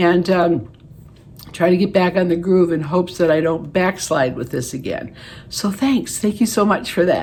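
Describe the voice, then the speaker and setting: Noticeable background noise accompanies a woman speaking. Her voice is fairly low-pitched and her pace fairly quick. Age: 70s. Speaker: beauty vlogger. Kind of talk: casual vlog talk to camera. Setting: home, living room. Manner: halting, many fillers.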